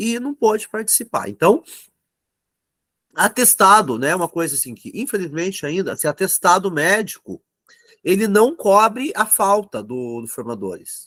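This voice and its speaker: A man with a high pitch and a bright, sharp tone speaks at a fairly slow pace with very wide pitch swings, the sound dry and close with no echo. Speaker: teacher trainer. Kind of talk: online training class.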